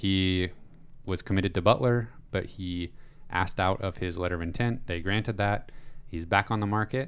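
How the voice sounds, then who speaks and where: A man with a very deep, low pitch keeps his intonation fairly even as he talks at a moderate pace. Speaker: podcast host. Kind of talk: casual chat. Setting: studio.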